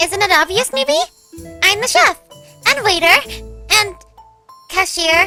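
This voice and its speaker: A put-on character voice at an extremely high pitch goes at a fairly slow pace with long, frequent pauses. Faint music plays in the background. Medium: audio drama. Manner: bubbly, chirpy.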